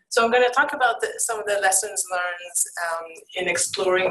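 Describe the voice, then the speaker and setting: A woman speaks with ordinary pitch variation. Room echo can be heard. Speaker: conservation program presenter. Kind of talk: conference presentation. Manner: halting.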